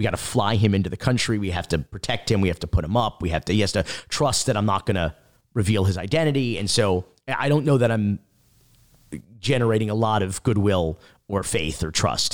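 With an American accent and a normal speaking voice, a man talks at a fairly quick pace, his fairly low pitch showing ordinary variation, in a dry, close sound with no echo. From South Florida (North Miami Beach). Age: 40s. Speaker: documentary filmmaker. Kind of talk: interview.

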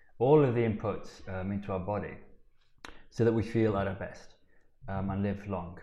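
With a Yorkshire accent, a man talks at a moderate pace amid audible room echo. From Yorkshire, Sheffield. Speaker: biohacking coach. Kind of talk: casual interview. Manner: halting.

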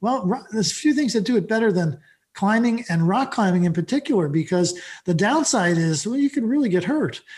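A man speaks with a high pitch, fairly quickly, and with lively intonation. His loudness stays very even throughout. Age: 60s. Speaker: author and fitness company founder. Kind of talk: interview.

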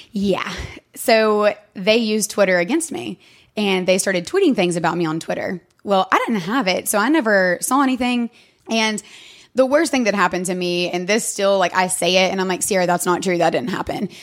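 Speech comes at a fairly quick pace in an East Tennessee accent. The recording is very clean, with a silent background. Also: woman, medium pitch for a woman, lively intonation. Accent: Southern US (East Tennessee). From East Tennessee, US South. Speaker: podcast guest. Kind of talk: testimony.

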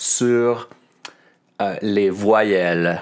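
This is a man speaking with a Montreal accent. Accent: Montreal Quebec French. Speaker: French teacher podcaster. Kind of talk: educational podcast. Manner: clear and precise.

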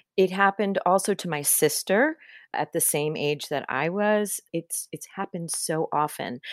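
In a very clean recording with a silent background, a woman uses a normal speaking voice, fairly low in pitch with ordinary variation. She goes at a moderate pace, and the sound is dry and close with no echo. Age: 50s. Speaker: writer and editor. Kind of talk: interview.

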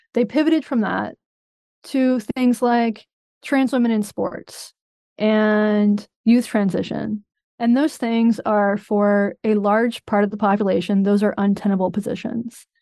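Dark and mellow in tone, the voice moves at a fairly slow pace. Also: woman, fairly high pitch for a woman, fairly even intonation. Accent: American. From US South, North Carolina. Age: 40s. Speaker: journalist and podcast host. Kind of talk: interview.

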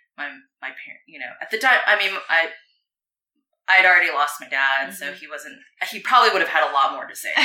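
In an American accent, a woman talks at a very fast pace with lively intonation and long, frequent pauses, amid audible room echo. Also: big swings in loudness. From US West Coast (Arcadia, California). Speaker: former pro surfer, surfboard business owner. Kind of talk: casual interview. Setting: at her home.

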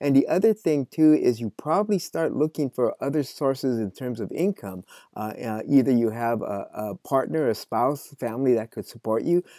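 A man with an American accent speaks at a moderate pace in a medium-pitched, dark, mellow tone, the very clean recording dry and close with no echo and a silent background. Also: lively intonation. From California Central Valley, near Fresno. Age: 60s. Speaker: farmer and author. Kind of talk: interview conversation.

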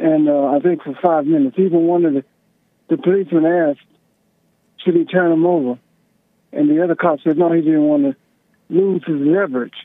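Speaking at a fairly quick pace but with long, frequent pauses, a man with an American accent has a high pitch and ordinary pitch variation. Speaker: caller. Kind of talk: heated debate. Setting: phone call.

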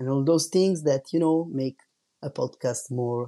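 A dark, mellow tone carries ordinary pitch variation. Nothing intrudes from behind, as the background is quiet. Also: man. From Italy. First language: Italian. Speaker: tattoo artist and podcast host. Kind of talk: solo podcast monologue. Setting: home recording without professional microphone. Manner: slow.

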